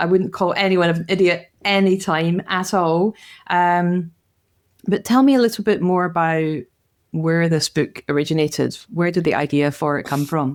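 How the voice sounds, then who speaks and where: A woman's fairly low voice comes through on a very clean recording against a silent background. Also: ordinary pitch variation, moderate pace. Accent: strong Scottish. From Glasgow, Scotland. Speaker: podcast host. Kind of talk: casual interview.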